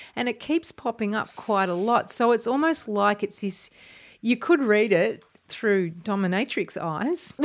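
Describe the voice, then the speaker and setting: A woman with an Australian accent speaks at a fairly slow pace and fairly high pitch, with lively intonation. The recording is very clean, with a silent background. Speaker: podcast host, broadcaster and writer. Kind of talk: casual chat. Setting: home studio.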